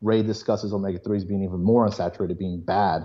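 This man has an unremarkable speaking voice at a fairly low pitch. He talks at a fairly quick pace with fairly even intonation. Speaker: biotech student. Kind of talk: casual chat.

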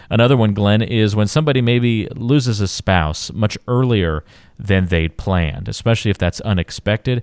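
Recorded very cleanly with a silent background, a man with a normal speaking voice and fairly low pitch talks at a moderate pace with ordinary pitch variation and very even loudness, the sound dry and close with no echo. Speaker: podcast host. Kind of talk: radio-style podcast interview.

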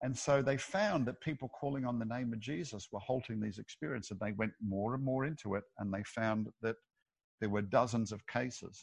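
A man with an Australian accent talks at a fairly quick pace and a medium pitch, with ordinary pitch variation, in a dry, close recording with no echo over a quiet background. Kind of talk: interview.

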